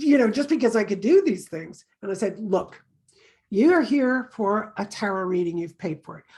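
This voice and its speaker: A woman in an ordinary speaking voice, with a fairly high pitch, lively intonation and a moderate pace. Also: big swings in loudness. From Canada. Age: 60s. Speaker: tarot reader. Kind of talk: casual chat.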